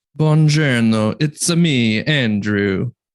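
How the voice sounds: A man puts on a character voice, pitched at a medium level. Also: ordinary pitch variation.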